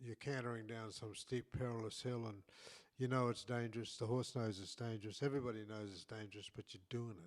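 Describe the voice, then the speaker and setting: Medium in pitch, a man with an Australian accent talks at a fairly quick pace. His intonation is fairly even, while his loudness swings widely. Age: 80s+. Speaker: saddle maker and podcast co-host. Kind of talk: casual chat. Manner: halting, with many repeated words.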